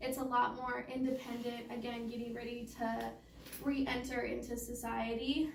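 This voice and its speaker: A woman speaks at a moderate pace, and audible room echo follows her words. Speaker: case manager at youth homelessness nonprofit. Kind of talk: presentation to a meeting.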